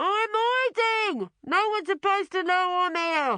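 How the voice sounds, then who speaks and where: In a put-on character voice, someone shouts at an extremely high pitch and a moderate pace. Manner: cross, yelling.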